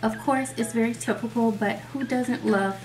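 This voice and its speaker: With faint music in the background, a woman talks at a moderate pace. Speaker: beauty vlogger. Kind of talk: casual vlog intro, then tutorial. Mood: friendly, upbeat.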